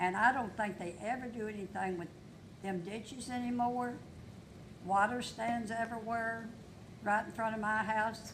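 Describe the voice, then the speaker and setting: Amid audible room echo, a woman with a fairly high pitch speaks in fairly even intonation, leaving long, frequent pauses. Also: moderate pace. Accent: Kentucky. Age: 80s+. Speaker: local resident speaking at public comment. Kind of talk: public comment at council meeting. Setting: city council meeting.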